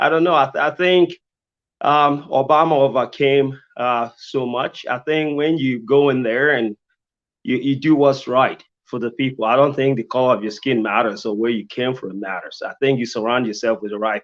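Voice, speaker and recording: A non-native accent carried by lively intonation. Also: man. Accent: foreign. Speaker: mayoral candidate, engineer. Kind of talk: candidate forum answer. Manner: halting, many repetitions.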